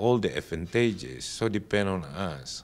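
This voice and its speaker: In an Indonesian accent, a man speaks at a moderate pace with ordinary pitch variation. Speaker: telecom executive. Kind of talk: interview. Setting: industry conference. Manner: halting.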